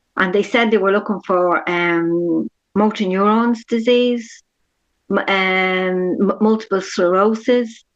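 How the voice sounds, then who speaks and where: Someone talks very slowly with an Irish accent and fairly even intonation. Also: woman, medium pitch for a woman. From Ireland, Dublin. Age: 60s. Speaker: patient sharing her experience. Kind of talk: interview testimony.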